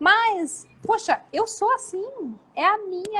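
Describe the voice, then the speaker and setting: Lively intonation from a woman with a bright, sharp tone. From Brazil, Jundiaí / Curitiba. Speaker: live stream host, wedding business coach. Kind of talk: casual live chat. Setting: live video stream.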